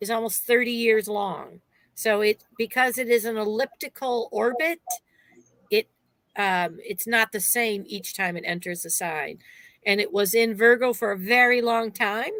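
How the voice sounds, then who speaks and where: A woman in an ordinary speaking voice, fairly high in pitch, at a fairly slow pace with ordinary pitch variation. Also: dry, close sound with no echo. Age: 60s. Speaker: astrologer. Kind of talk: casual chat. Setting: live stream.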